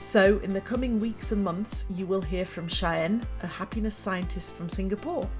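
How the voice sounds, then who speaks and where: Against music in the background, a woman speaks at a moderate pace in an upbeat tone. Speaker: motivational speaker and former teacher. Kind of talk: podcast trailer read.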